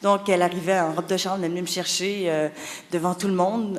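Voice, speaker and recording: Over noticeable background noise, a woman talks at a fairly low pitch with monotone, flat intonation. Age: 40s. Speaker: author. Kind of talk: conference talk, personal testimony. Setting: conference hall with audience. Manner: hesitant, many fillers and repetitions.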